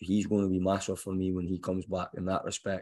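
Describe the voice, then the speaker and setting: Speaking at a very fast pace in a Scottish accent, a man with a fairly low pitch comes through on a very clean recording with a silent background. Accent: Scottish, noticeable. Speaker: football head coach. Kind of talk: press conference Q&A. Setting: press room.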